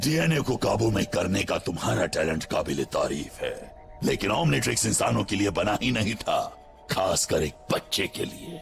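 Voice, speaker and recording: Clear music sounds behind the speech. A man puts on a character voice. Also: moderate pace. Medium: fan dub. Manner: grave, commanding.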